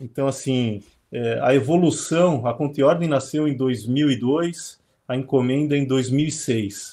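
A man with a fairly high-pitched, dark, mellow voice speaks at a very slow pace. His pitch varies in an ordinary way. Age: 40s. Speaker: trading company CEO. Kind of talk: webinar conversation.

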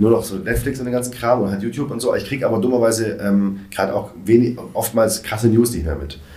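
Over noticeable background noise and audible room echo, a man at medium pitch races along at a very fast pace with hardly any pauses and ordinary pitch variation. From Germany, Swabia (Reutlingen). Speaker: stand-up comedian and event organizer. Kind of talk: casual chat. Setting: studio.

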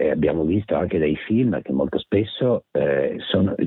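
A man at a moderate pace with lively intonation. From Mestre, near Venice, Italy. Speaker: journalist and author. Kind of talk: interview. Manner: halting, many fillers.

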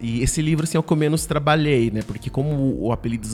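A man speaks at a very fast pace with ordinary pitch variation. Music plays in the background. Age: 30s. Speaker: writer and scriptwriter. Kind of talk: interview.

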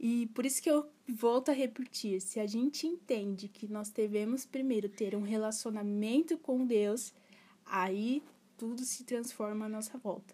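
Her voice is fairly high with a dark, mellow tone, and this woman keeps a fairly even intonation. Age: 20s. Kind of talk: casual solo podcast talk. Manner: halting.

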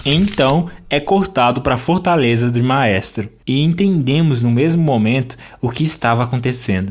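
A man with a medium-pitched voice speaks at a moderate pace in an animated, dramatic tone, his intonation lively and his loudness very even. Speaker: podcast host and narrator. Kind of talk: literary audiobook-style reading of a comic, narrated with character voices. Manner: animated, storytelling narrator, dramatic.

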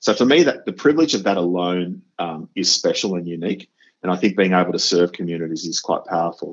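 A man with a very deep, low voice and an Australian accent speaks at a very fast pace with ordinary pitch variation. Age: 50s. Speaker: educator and podcast host. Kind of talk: interview.

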